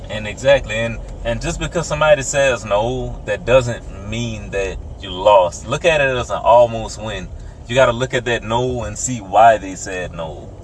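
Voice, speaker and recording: A man with an American accent, his loudness swinging widely, over noticeable background noise. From rural US South. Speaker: podcast co-host. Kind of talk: casual chat. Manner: slow.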